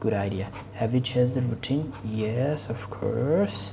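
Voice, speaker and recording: A woman speaks at a very slow pace in a very deep, low pitch, with noticeable background noise behind her. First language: Bengali. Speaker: English learning vlogger. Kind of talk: mock speaking exam. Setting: online video call. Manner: halting.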